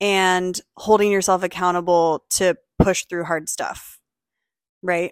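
A woman speaks very slowly in a flat monotone. The recording is very clean with a silent background and a dry, close sound with no echo. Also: medium pitch for a woman. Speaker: wellness retreat creator. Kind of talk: casual chat. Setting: sitting on a couch in a garage.

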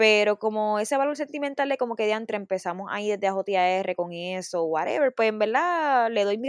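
In a Puerto Rican accent, the speaker talks fairly quickly with lively intonation, recorded dry and close with no echo against a quiet background. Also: woman. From Puerto Rico, Bayamón. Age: 20s. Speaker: singer, former reality show contestant. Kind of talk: casual interview.

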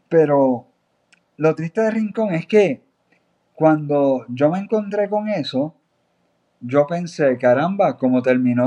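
A man talks very slowly at a fairly high pitch, with lively intonation and a dark, mellow tone. The background is quiet. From Puerto Rico, Aguada (west). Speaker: journalist. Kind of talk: interview.

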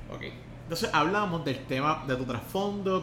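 A man with a Puerto Rican accent speaks at a moderate pace with ordinary pitch variation, with audible room echo and noticeable background noise. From Puerto Rico. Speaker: podcast host. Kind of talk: interview. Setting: in-person studio interview.

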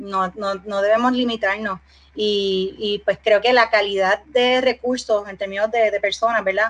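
In a normal speaking voice, the speaker keeps a moderate pace and fairly even intonation. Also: woman. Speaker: export business founder. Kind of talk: casual interview.

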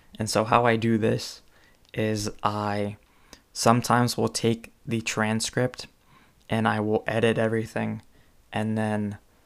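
A man speaks at a very slow pace with a Californian accent. His pitch is fairly low and his intonation is monotone and flat. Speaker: podcaster and author. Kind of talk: solo podcast tutorial. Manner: halting, many fillers.

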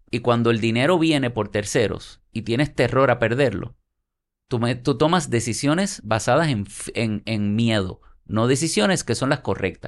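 A man with an unremarkable speaking voice talks at medium pitch and a moderate pace, with ordinary pitch variation, over a quiet background. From Puerto Rico (Santurce, San Juan). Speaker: architect and urban developer. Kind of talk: casual interview.

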